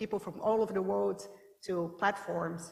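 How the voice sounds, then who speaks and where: A woman with a Brazilian accent speaks at medium pitch over noticeable background noise. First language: Portuguese. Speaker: startup founder, panelist. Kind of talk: panel discussion. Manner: hesitant, many fillers.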